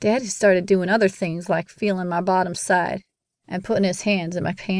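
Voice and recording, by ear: The background stays quiet while a person is reading aloud in a natural voice.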